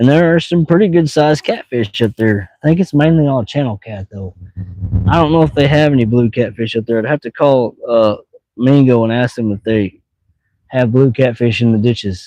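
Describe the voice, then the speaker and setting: A man with a Missouri accent, dark and mellow in tone, at a moderate pace, in a dry, close sound with no echo. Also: medium pitch for a man, ordinary pitch variation. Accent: southeast Missouri rural accent, noticeable. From US Midwest, southeast Missouri. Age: 40s. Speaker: fishing live streamer. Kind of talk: casual live stream chat. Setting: outdoors by water, fishing. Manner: relaxed, casual.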